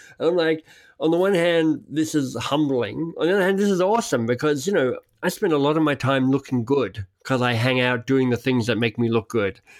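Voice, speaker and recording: A man with a plain, everyday voice speaks at a fairly quick pace and fairly high pitch, his loudness very even. His intonation is lively, on a very clean recording with a silent background. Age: 50s. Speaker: podcast host. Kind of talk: casual interview chat.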